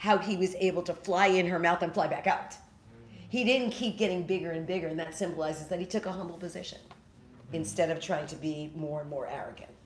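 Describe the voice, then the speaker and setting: Fairly low-pitched woman's voice amid noticeable background noise and audible room echo. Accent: American. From New York City. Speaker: spiritual teacher and storyteller. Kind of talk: talk with audience Q&A. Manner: fast.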